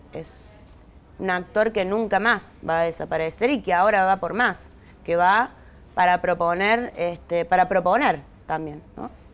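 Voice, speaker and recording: With ordinary pitch variation and a fairly slow pace, this is a plain, everyday voice. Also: woman, medium pitch for a woman. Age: 40s. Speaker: social movement leader. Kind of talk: interview.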